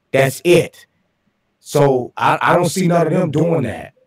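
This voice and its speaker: A man with a somewhat breathy sound. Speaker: flat earth livestream panelist. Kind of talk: casual panel discussion. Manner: animated.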